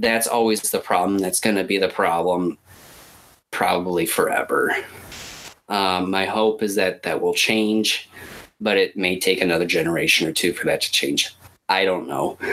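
A man speaks at a moderate pace with very even loudness. He takes long, frequent pauses. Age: 30s. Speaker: podcast co-host. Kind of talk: casual chat. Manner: hesitant, many fillers.

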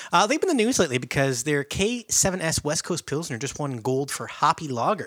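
A man with an unremarkable speaking voice and fairly high pitch talks at a fairly quick pace with lively intonation and hardly any pauses, in a dry, close recording with no echo that is very clean against a silent background. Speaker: podcast host. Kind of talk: casual chat.

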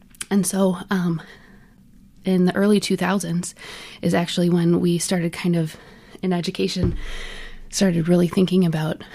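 A woman's dark, mellow, somewhat breathy voice with an American accent, fairly quick and flat in a monotone. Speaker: accessibility consultant. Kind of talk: casual chat.

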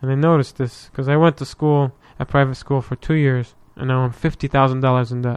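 A man speaks in a monotone with flat intonation. The sound is dry and close, with no echo. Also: medium pitch for a man, fairly quick pace. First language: Arabic. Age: 20s. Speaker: podcast guest. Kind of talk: casual chat.

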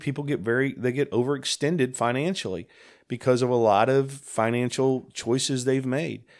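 On a very clean recording with a silent background, a man speaks in an ordinary speaking voice at medium pitch, with ordinary pitch variation and a fairly quick pace. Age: 50s. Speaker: senior pastor. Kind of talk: casual chat.

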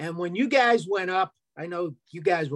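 Delivery is at a moderate pace, with a dry, close sound and no echo. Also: man. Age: 70s. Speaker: air force veteran, audience questioner. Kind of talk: audience comment.

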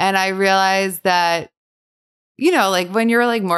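In an American accent, a woman uses a normal speaking voice at a moderate pace with fairly even intonation, the sound dry and close with no echo. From New Jersey, Bergen County. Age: 30s. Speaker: bakery founder and entrepreneur. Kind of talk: interview conversation.

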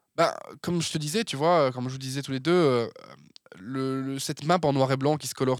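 Recorded very cleanly against a silent background, an ordinary speaking voice moves at a fairly quick pace with ordinary pitch variation. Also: man. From Belgium, Verviers area (Wallonia). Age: 20s. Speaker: communication agency founder. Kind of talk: casual interview.

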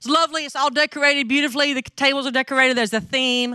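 A woman with a strong Southern US accent at a very fast pace, with ordinary pitch variation, in a very clean recording with a silent background. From North Mississippi, US South. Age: 50s. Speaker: missionary speaker. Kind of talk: sermon. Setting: church.

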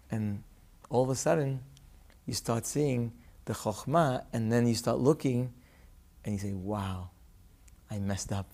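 A man with a dark, mellow tone and medium pitch speaks at a fairly slow pace, with ordinary pitch variation and long, frequent pauses. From Aleppo, Syria. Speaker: rabbi, son of the book's subject. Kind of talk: interview. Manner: halting.

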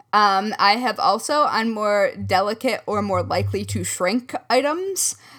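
On a very clean recording with a silent background, a woman with an American accent talks in a bright, sharp tone at a fairly high pitch. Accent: slight Midwestern, surfaces occasionally. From US Midwest. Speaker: crafting podcast co-host. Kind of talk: casual chat.

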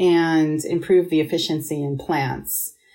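In an American accent, a woman speaks with a dark, mellow tone on a very clean recording with a silent background. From Pittsburgh and Rochester, New York, US. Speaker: management consultant. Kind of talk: interview.

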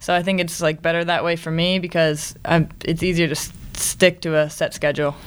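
The speaker has an American accent and moves at a fairly quick pace. The intonation is monotone and flat. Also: woman. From Maryland, US. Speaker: college athlete. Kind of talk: interview.

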